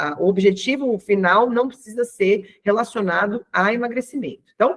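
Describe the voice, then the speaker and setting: With a normal speaking voice, a woman talks at a moderate pace and fairly high pitch, using ordinary pitch variation. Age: 40s. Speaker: health and weight-loss coach. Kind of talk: online class. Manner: casual, conversational.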